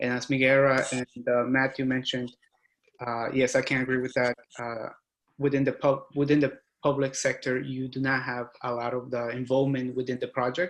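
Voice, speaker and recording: At a moderate pace, a man speaks at medium pitch in a monotone, flat intonation. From abroad, moved to US at 13. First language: not English. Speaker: structural engineer. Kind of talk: panel discussion. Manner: halting.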